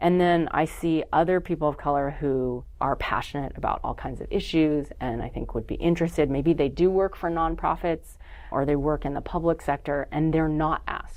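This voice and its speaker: In a slight Californian accent, a woman talks at a moderate pace with hardly any pauses. The background is quiet. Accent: slight Californian in word choice. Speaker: nonprofit network founder. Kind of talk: casual interview chat. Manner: conversational, many fillers.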